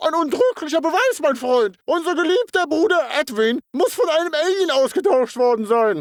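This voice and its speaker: This is a cartoonish character voice. The pitch sits high. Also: moderate pace, hardly any pauses. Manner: stilted, formal.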